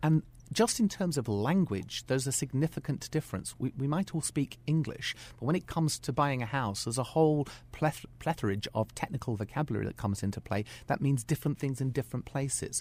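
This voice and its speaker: A somewhat breathy man's voice with a British accent, fairly quick and lively in intonation. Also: fairly high pitch for a man. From UK. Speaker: school principal. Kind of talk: radio interview. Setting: radio studio.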